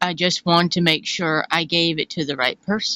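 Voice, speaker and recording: In a put-on character voice, a woman speaks raspy and fairly low at a moderate pace with fairly even intonation, the sound dry and close with no echo. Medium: game stream. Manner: smug, dismissive.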